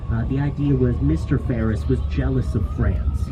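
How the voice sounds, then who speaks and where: A man speaks with a very deep, low pitch over noticeable background noise, with audible room echo. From Chicago, US Midwest. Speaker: tour guide. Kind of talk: guided tour narration. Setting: outdoors on a speedboat. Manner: animated.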